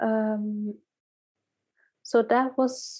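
Here a woman speaks with a fairly high pitch. Her intonation stays fairly even. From Netherlands, Dutch-Cape Verdean parents. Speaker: researcher and human rights activist. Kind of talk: casual interview conversation.

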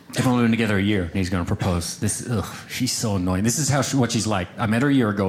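With an American accent, the man rattles through his words at a very fast pace. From small-town Oklahoma. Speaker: stand-up comedian. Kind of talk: stand-up.

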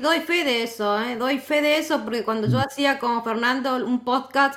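With an Argentine accent, a woman speaks at a high pitch in a bright, sharp tone. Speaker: tech instructor and community moderator. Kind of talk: casual chat. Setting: online audio room. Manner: cheerful, laughs often.

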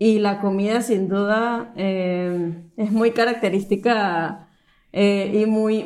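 In a room with audible echo, a woman speaks at a very slow pace with a medium pitch and fairly even intonation. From Venezuela, Caracas. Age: 20s. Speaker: engineer. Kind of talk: casual chat. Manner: halting.

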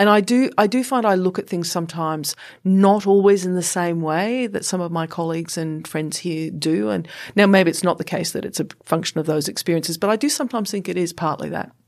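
A woman with a normal speaking voice, fairly low pitch and ordinary pitch variation, at a fairly quick pace on a very clean recording with a silent background. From England then Canada, Australia from teens. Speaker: senior government official. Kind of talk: interview conversation.

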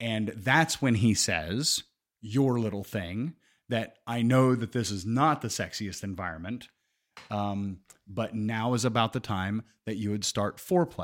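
A man speaks fairly slowly in a normal speaking voice at a medium pitch, on a very clean recording with a silent background. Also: ordinary pitch variation. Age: 40s. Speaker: podcast co-host. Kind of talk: casual chat.

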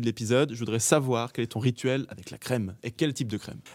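On a very clean recording with a silent background, a man with a medium-pitched voice speaks at a very fast pace with ordinary pitch variation. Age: 30s. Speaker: podcast host. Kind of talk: casual interview. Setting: theatre stage.

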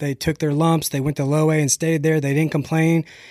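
In a very clean recording with a silent background and a dry, close sound with no echo, a man with an American accent speaks at a fairly high pitch in a monotone, flat intonation. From Texas, later Ohio. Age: 40s. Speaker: pitching instructor, former pro baseball pitcher. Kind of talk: casual interview.

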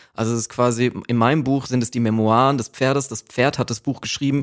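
In a very clean recording with a silent background, a man at medium pitch rushes along at a very fast pace with hardly any pauses and fairly even intonation. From Germany, Aschaffenburg (Lower Franconia). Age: 20s. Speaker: author of a graphic novel. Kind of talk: casual chat.

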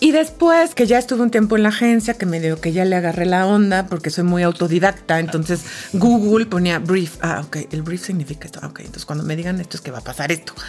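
Over noticeable background noise, a woman with fairly low pitch talks at a very fast pace with hardly any pauses, big swings in loudness and ordinary pitch variation. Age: 40s. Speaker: events executive. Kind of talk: interview.

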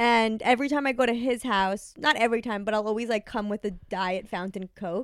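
On a very clean recording with a silent background, a woman with a New York accent speaks fairly quickly in a fairly high pitch, with hardly any pauses. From US Northeast, New York. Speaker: comedian. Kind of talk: casual chat.

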